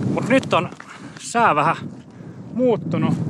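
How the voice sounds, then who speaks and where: The speech moves at a fairly slow pace over loud background noise, with a dry sound and no echo. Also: man. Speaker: solo hiker vlogger. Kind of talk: casual vlog chat. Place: open country. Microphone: phone near.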